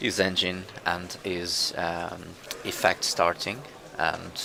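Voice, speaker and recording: A man's very deep, low voice, dry with no echo, over noticeable background noise. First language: Italian. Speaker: card game commentator. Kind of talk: live commentary. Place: studio. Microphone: headset.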